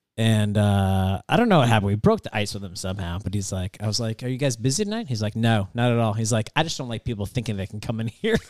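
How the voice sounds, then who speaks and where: A man's fairly low voice with an American accent at a very fast pace, hardly any pauses and fairly even intonation, in a very clean, dry, close recording with a silent background and no echo. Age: 40s. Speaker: podcast host. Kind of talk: casual chat. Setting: studio.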